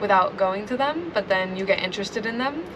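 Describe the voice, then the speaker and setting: With an American accent, a woman speaks over noticeable background noise in a room with audible echo. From US Pacific Northwest, Seattle. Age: young (19). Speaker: aspiring filmmaker, traveler. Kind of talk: interview. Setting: at host's home. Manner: casual, many fillers.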